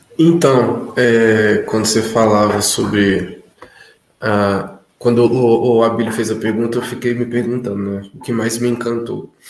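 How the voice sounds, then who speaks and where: A man's plain, everyday voice at medium pitch, with fairly even intonation and a fairly slow pace. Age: 20s. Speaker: consecrated community member. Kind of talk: testimony.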